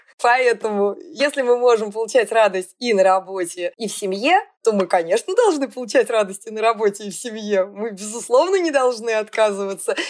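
An ordinary speaking voice at a moderate pace with ordinary pitch variation. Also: woman, fairly high pitch for a woman. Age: 50s. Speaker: factory owner and CEO. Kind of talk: casual interview.

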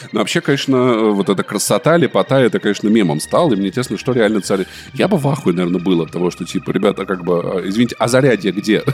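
Over noticeable background noise, a man with a fairly low pitch talks at a very fast pace with lively intonation. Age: 30s. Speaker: podcast co-host. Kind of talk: casual chat. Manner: animated.

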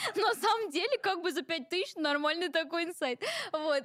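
Recorded with a dry, close sound and no echo, a woman talks at a moderate pace. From Ingushetia (North Caucasus). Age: 20s. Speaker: blogger and personal brand expert. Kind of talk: interview. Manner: casual.

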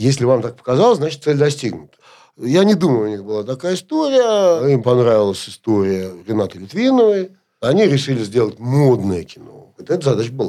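A man's dark, mellow voice with very wide pitch swings, on a very clean recording with a silent background. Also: medium pitch for a man, fairly quick pace. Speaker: media executive and producer. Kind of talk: interview.

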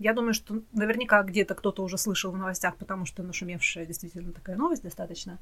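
At a very fast pace with hardly any pauses, a woman of medium pitch speaks with fairly even intonation. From Russia. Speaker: podcast co-host. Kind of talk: casual chat.

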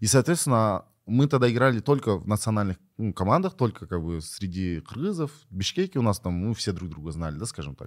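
A man with a normal speaking voice talks at a fairly quick pace and a fairly low pitch. His intonation is lively, and the recording is very clean with a silent background. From Kyrgyzstan. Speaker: esports player. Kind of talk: interview.

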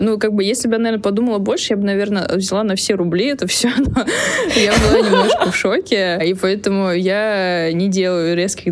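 Over noticeable background noise, a woman speaks at a fairly quick pace and medium pitch with ordinary pitch variation. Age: 30s. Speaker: iOS developer. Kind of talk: casual chat.

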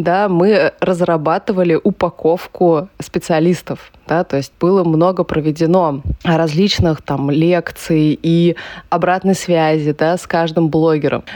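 A woman talks in an ordinary speaking voice at a fairly low pitch. Her pace is fairly slow and her intonation fairly even. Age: 30s. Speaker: entrepreneur and amateur runner, blogger. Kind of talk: casual interview.

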